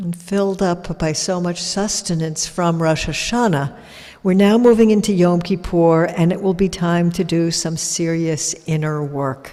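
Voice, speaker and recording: Fairly even intonation and a fairly slow pace come through over noticeable background noise. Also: woman. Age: 60s. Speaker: rabbi. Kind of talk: religious service address. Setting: synagogue with congregation and live stream.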